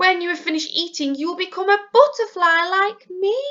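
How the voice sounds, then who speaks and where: A woman's squeaky, put-on character voice at an extremely high pitch, fairly quick in pace, with ordinary pitch variation. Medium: read story. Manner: hesitant, gentle.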